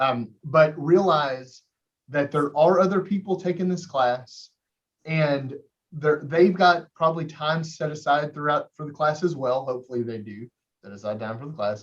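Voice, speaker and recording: A somewhat breathy man with a fairly high pitch speaks with ordinary pitch variation and big swings in loudness. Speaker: college math instructor. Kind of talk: lecture. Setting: video call. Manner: fast; animated.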